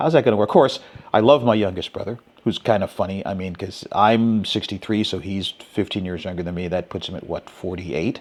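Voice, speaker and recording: Here is a man with a plain, everyday voice and a fairly low pitch. He moves at a fairly quick pace, with big swings in loudness. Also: ordinary pitch variation. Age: 60s. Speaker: podcast host. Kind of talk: interview conversation.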